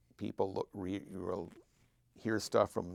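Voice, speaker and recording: A man speaks at a fairly low pitch in a flat monotone, at a moderate pace. The recording is very clean with a silent background, and the sound is dry and close with no echo. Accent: American. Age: 60s. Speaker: longtime sports fan. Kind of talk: casual chat.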